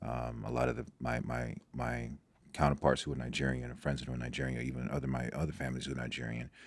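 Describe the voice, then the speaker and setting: A man's very deep, low voice with vocal fry, monotone and flat, at a very fast pace. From Nigeria, moved to US as a child. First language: Igbo. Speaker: doctor and former football prospect. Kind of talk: podcast interview. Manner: halting, many fillers and repetitions.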